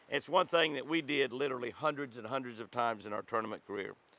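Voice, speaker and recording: The speaker is a man talking at a very fast pace. His voice sounds dry, without any echo. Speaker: devotional host. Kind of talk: devotional reading and tutorial. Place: forest.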